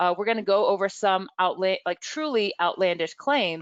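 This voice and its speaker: Set against a quiet background in a dry, close sound with no echo, a woman with an ordinary speaking voice talks at medium pitch and a moderate pace, her intonation lively. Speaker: webinar presenter, media bias researcher. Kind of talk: webinar presentation. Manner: many fillers and restarts.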